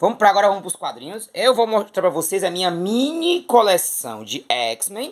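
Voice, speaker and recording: A man speaks in an animated tone, his voice high for a man and swinging very widely in pitch. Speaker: comic collector YouTuber, theatre artist. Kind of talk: casual collection show-and-tell.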